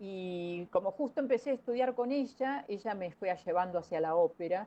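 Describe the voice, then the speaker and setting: With a dark, mellow tone, a woman talks at medium pitch and a moderate pace, her intonation lively. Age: 60s. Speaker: opera singer. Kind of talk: interview. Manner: hesitant, many fillers.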